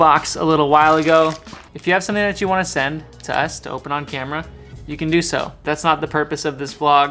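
Faint music plays in the background as a man talks very fast. His intonation is fairly even. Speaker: family vlogger. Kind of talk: casual vlog chat. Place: home room. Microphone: camera far.

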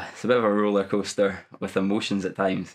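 A man in a Scottish accent, fairly low in pitch, at a moderate pace over a quiet background. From Dumfries, Scotland. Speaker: primary school teacher. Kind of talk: interview answer. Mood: amused, determined. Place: gym. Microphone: lapel.

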